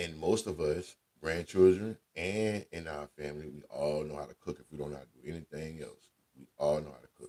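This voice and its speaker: A man speaks in a very deep, low pitch. His tone is dark and mellow, and his pace is fairly quick. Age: 40s. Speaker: radio host. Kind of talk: casual chat. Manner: animated.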